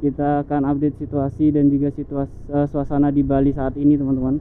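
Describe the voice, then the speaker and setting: The speech moves at a very fast pace with music in the background. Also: dry sound with no echo. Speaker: travel vlogger. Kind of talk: casual vlog chat. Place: street. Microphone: phone near.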